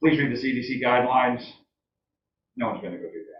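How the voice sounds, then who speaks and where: A man's medium-pitched voice with fairly even intonation, plus audible room echo. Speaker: town selectman. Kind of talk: public meeting debate. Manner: loud.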